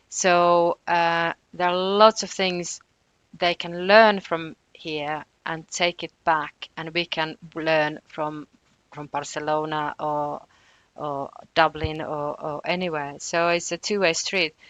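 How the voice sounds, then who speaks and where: A woman's fairly low voice in a Finnish accent at a very slow pace, with fairly even intonation, big swings in loudness, a quiet background and dry, close sound with no echo. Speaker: housing researcher. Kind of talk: podcast interview. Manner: hesitant, many fillers.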